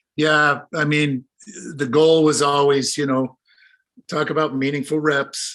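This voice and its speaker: A man with a normal speaking voice, fairly high pitch and a fairly slow pace. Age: 60s. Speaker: former hammer thrower and coach. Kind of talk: casual chat.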